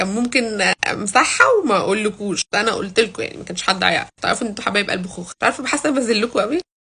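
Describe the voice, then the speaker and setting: In a playful tone, a woman speaks at a fairly quick pace with hardly any pauses and big swings in loudness. Her voice is fairly high, with ordinary pitch variation. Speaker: football vlogger. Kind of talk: casual vlog. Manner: quiet, lowered voice; chatty, playful.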